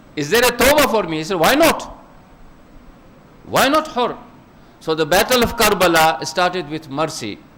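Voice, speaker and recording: In a room with audible echo, a man speaks at a moderate pace, his pitch swinging very widely between long, frequent pauses. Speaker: preacher. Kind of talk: sermon.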